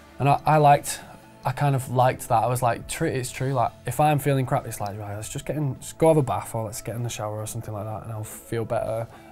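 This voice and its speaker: This man talks at a very fast pace with fairly even intonation. Faint music plays in the background. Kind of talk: interview answer. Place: home room. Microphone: lapel.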